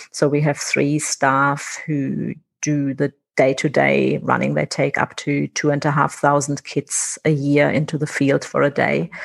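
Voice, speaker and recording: A woman with a German accent, fairly slow in pace and very even in loudness. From Germany. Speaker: conservation director. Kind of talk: interview. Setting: remote call.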